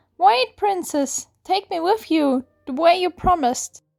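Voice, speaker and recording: A squeaky, put-on character voice is heard. It moves at a fairly slow pace. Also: woman. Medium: read story.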